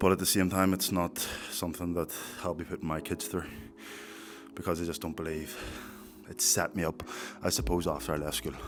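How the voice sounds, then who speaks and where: A man with a Northern Irish accent speaks at a fairly quick pace with lively intonation. His very deep, low pitch carries vocal fry. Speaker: fitness content creator. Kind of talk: vlog monologue.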